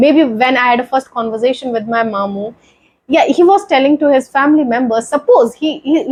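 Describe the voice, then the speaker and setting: A woman speaks with an Indian accent at a fairly quick pace. Her pitch is high, with ordinary variation. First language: Hindi. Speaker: YouTuber sharing English-learning story. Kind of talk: motivational vlog talk. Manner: halting.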